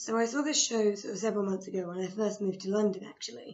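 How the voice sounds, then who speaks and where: A woman with an English accent, medium pitch, and a fairly quick pace. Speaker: theatre reviewer vlogger. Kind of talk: casual review vlog. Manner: hesitant, filler-heavy.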